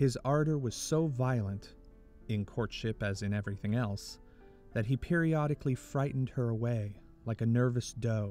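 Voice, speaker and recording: A man's medium-pitched voice sounds over music in the background. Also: ordinary pitch variation, moderate pace. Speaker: audiobook narrator, voice actor. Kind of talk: historical biography audiobook narration.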